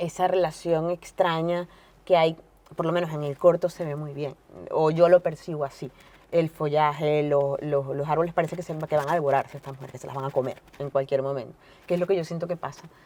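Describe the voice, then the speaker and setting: At a fairly quick pace, a woman speaks with a very deep, low pitch and a dark, mellow tone, her intonation monotone and flat while her loudness swings widely. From Venezuela, Caracas. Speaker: novelist and journalist. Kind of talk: interview. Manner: fast; halting, many fillers and repetitions.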